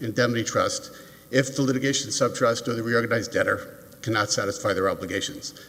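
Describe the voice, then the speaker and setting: A fairly quick pace with an American accent, ordinary pitch variation, and noticeable background noise. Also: man. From New York. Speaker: appellate lawyer. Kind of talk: oral argument in court. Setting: courtroom. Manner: fast.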